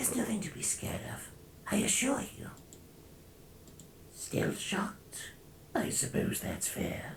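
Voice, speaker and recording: A whispering, put-on character voice at a fairly slow pace. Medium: game stream. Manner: smooth, calm, persuasive.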